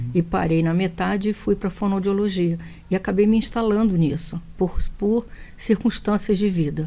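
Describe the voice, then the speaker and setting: A woman's voice with a Rio de Janeiro accent, at medium pitch and a moderate pace, with a dark, mellow tone, fairly even intonation and very even loudness. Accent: carioca. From Brazil, Rio de Janeiro. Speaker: speech therapist. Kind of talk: TV interview.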